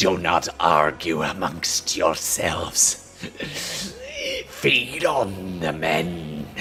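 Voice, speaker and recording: A man's put-on character voice, raspy and very slow, over clear background noise. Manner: menacing, commanding.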